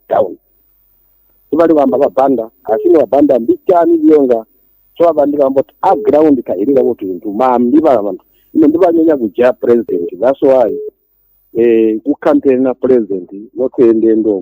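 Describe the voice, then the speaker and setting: A man with a Zambian accent speaks at a fairly quick pace and medium pitch, his tone dark and mellow. His intonation is lively, and the sound is dry and close with no echo. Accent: Zambian (Tonga) English. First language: Tonga. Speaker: caller. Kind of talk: radio phone-in call.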